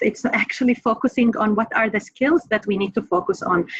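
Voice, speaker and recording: At a moderate pace, the speaker talks in a non-native accent with ordinary pitch variation. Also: woman. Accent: foreign. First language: not English. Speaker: professor. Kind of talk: panel discussion.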